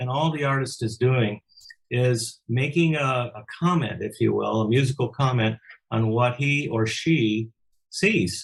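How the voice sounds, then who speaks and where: Somewhat breathy and fairly slow, a man speaks at a medium pitch with ordinary pitch variation. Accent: American. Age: 70s. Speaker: musician and record producer. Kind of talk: interview. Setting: home studio. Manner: halting, repeats words.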